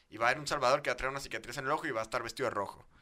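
Talking very fast, a man with a Mexican accent uses ordinary pitch variation. His medium-pitched voice has a bright, sharp tone. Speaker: podcast co-host. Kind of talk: casual chat.

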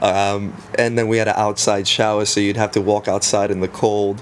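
Amid noticeable background noise, a man talks at a moderate pace and a fairly low pitch. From South Africa. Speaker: guest. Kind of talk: casual interview chat.

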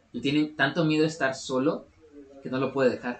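Here a man speaks with a Mexican accent. His pace is very fast. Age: 20s. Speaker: podcast co-host. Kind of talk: casual chat.

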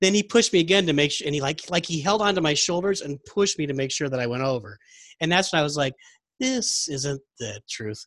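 A man with an American accent and fairly high pitch races along at a very fast pace with very wide pitch swings, on a very clean recording with a silent background and a dry, close sound with no echo. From Texas. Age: 40s. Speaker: podcast host. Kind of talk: casual chat.

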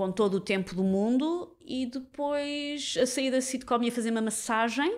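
A woman talks at a fairly slow pace with hardly any pauses, her high pitch showing ordinary variation. The recording is very clean, with a silent background. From Portugal, Lisbon area (Sintra line). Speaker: comedy writer and radio host. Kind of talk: casual chat.

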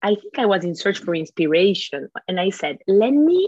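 With an Italian accent, a woman speaks at a fairly slow pace and medium pitch, captured in a dry, close sound with no echo. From Italy. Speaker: school founder and director. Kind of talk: interview.

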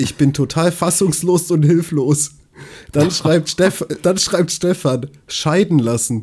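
A man talks at a very slow pace with a dark, mellow tone. His fairly high pitch varies in an ordinary way. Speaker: podcast co-host. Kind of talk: casual chat.

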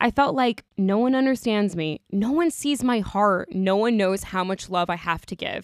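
Here is a woman with an American accent, using an ordinary speaking voice at a fairly quick pace. Her pitch variation is ordinary, and the recording is very clean over a silent background. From Long Island, New York. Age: 20s. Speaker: podcast host. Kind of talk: reading aloud.

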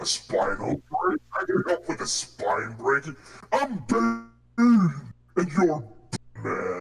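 A man speaks very slowly in a high-pitched, put-on character voice with long, frequent pauses. Music plays in the background. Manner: mocking, dark humor.

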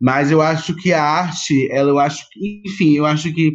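A man's fairly high-pitched voice at a fairly slow pace, an unremarkable speaking voice. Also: quiet background. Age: 40s. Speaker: actor and theatre producer. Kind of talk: interview conversation.

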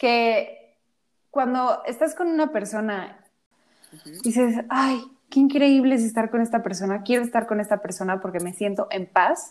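A woman with a Mexican accent speaks at a fairly slow pace and a fairly high pitch. Her intonation is lively and her loudness swings a lot. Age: 20s. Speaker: podcast co-host. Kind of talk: casual chat.

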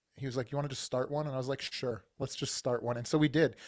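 Speaking in an unremarkable speaking voice, a man keeps a medium pitch and fairly even intonation. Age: 40s. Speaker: business coach and army veteran. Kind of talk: interview.

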